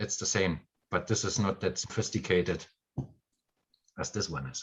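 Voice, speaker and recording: This man has a very deep, low pitch, vocal fry, and a German accent. He talks at a moderate pace with ordinary pitch variation. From Germany. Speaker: spiritual course teacher. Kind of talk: live stream chat. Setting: video call live stream.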